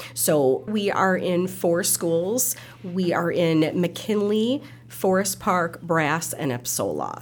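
A woman with an Upper Midwest accent speaks very slowly at a fairly low pitch, with lively intonation and very even loudness. Noticeable background noise runs behind her. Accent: Upper Midwest American. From Milwaukee, Wisconsin. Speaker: nonprofit chief executive. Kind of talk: casual interview.

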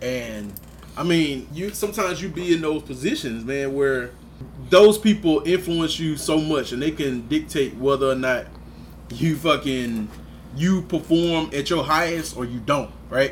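Noticeable background noise sits behind a man who speaks fairly slowly in a fairly high voice with ordinary pitch variation. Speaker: podcast host.

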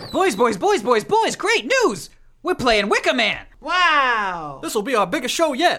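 A put-on character voice, high in pitch, moves through very wide pitch swings at a fairly slow pace. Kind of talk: comic radio sketch. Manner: flustered, excitable, stammering.

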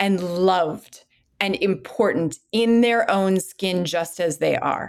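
With an American accent, a woman speaks at a very slow pace using lively intonation. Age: 40s. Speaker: clinical psychologist. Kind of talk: interview.

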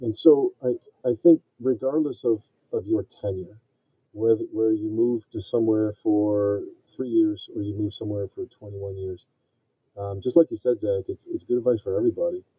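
This man has a plain, everyday voice, medium in pitch with ordinary pitch variation, speaking at a moderate pace with an American accent. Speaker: navy veteran and project manager. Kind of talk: casual interview.

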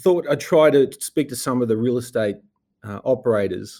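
The voice is a man's, with a dark, mellow tone. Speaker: investment executive and podcast host. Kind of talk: podcast introduction. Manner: halting, many fillers; dry.

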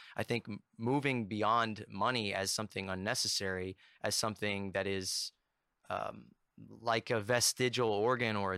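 In a very clean recording with a silent background, a man with an American accent speaks in a bright, sharp tone and fairly even intonation. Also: dry, close sound with no echo. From US South. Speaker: podcast host. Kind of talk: casual chat. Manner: halting.

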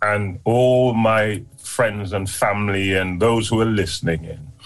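Amid noticeable background noise and audible room echo, a man speaks very slowly at a fairly low pitch. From Jamaica, moved to UK as a child. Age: 60s. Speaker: community leader, founder of prison outreach charity. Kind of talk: interview, personal testimony.

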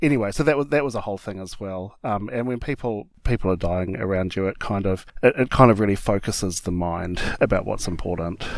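Fairly low in pitch, a man with a New Zealand accent speaks at a fairly quick pace with hardly any pauses in a very clean recording with a silent background. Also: ordinary pitch variation. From small-town New Zealand (Hamilton area). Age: 40s. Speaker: drag performer. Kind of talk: interview.

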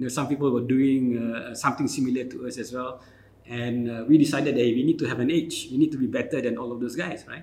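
This man's medium-pitched voice moves at a very fast pace with fairly even intonation. His loudness swings widely. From Malaysia, Kelantan. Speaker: tech company founder. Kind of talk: interview.

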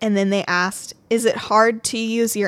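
An unremarkable speaking voice from a woman with an American accent, fairly slow and fairly even in intonation, on a very clean recording with a silent background. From Kentucky, US. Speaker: podcast host. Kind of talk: casual chat, storytelling. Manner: casual, laughs often.

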